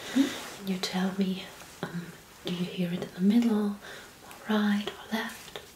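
Noticeable background noise beneath fairly slow talking. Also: woman. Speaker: ASMR creator doing a medical roleplay as a doctor. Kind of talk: medical exam roleplay, ASMR. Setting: studio, ASMR-style close recording. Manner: soft-spoken, whispering. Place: home room.

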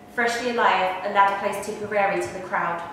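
A woman at a moderate pace with monotone, flat intonation, amid strong room echo and light background noise. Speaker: poetry performer. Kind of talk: poem performed, dramatic reading aloud. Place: home room. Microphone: camera far.

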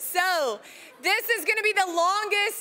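A woman's raised, projected voice with a bright, sharp tone. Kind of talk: announcement to students. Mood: casual, lightly teasing. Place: hall.

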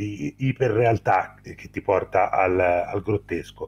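A man speaks at a very slow pace in a somewhat breathy voice. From Tuscany, Livorno; Tuscany. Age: 40s. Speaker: film critic YouTuber. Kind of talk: casual chat. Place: home room. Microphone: video call.

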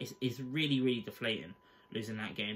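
A man with a bright, sharp tone talks over light background noise. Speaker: fan channel host. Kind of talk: angry post-match rant. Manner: fired-up, swearing, exasperated; blunt, rapid-fire verdicts. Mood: deflated, disappointed. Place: home room. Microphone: webcam.

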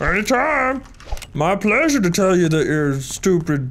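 Over clear background noise, a put-on character voice at a middle pitch moves at a moderate pace with very wide pitch swings. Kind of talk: commentary. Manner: silly, mocking. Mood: sarcastic, joking.

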